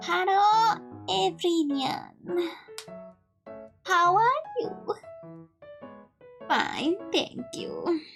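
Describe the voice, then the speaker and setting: An extremely high-pitched, put-on character voice moves at a very slow pace with faint music in the background. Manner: polite, stilted.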